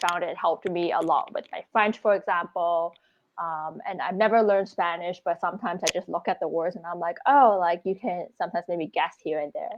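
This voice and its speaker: A woman with an unremarkable speaking voice at a fairly quick pace, with ordinary pitch variation, against a quiet background. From Canada, Scarborough, Toronto. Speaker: travel blogger. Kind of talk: casual chat.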